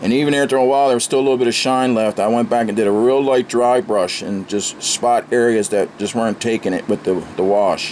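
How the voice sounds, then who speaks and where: A man at medium pitch and a fairly quick pace, over noticeable background noise. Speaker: scale model builder, channel host. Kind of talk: casual video tutorial / build update. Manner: animated, ranting.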